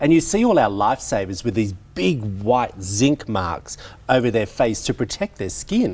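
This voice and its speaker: Lively intonation from a man in an Australian accent. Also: medium pitch for a man, moderate pace. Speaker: TV show host. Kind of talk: TV interview.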